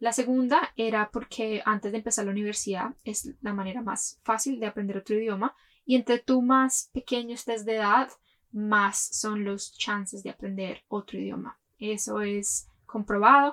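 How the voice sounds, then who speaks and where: A woman's fairly high voice with a bright, sharp tone, fairly even intonation and a moderate pace. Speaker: podcast host. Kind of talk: personal storytelling monologue.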